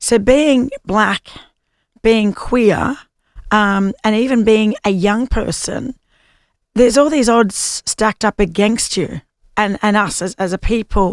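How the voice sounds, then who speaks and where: A fairly high-pitched woman with an Australian accent, ordinary pitch variation and a fairly slow pace, in a dry, close sound with no echo. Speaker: podcast host. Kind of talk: podcast interview questions.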